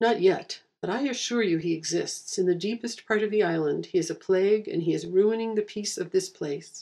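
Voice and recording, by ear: Natural-voiced reading aloud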